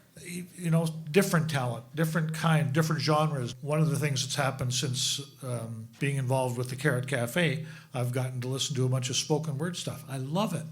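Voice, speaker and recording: Audible room echo surrounds a man speaking at a fairly high pitch and fairly quick pace with fairly even intonation. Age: 60s. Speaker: folk club organizer. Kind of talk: live panel interview. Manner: halting, repetitive.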